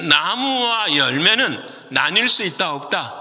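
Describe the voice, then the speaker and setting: A man speaks with very wide swings in pitch. Noticeable background noise and audible room echo surround his voice. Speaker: pastor. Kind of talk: sermon. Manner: speeds up when animated.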